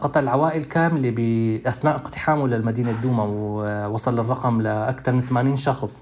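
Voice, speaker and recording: With a Damascus accent, a man speaks at a medium pitch and a fairly slow pace, with fairly even intonation, very even loudness, and hardly any pauses. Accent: Damascene Syrian Arabic. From Syria, Douma (Eastern Ghouta). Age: 30s. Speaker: human rights activist. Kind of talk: testimony. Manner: halting.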